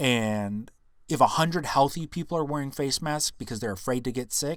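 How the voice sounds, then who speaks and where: On a very clean recording with a silent background, a man with a plain, everyday voice speaks at a moderate pace with lively intonation. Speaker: podcast host. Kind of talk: casual educational podcast monologue.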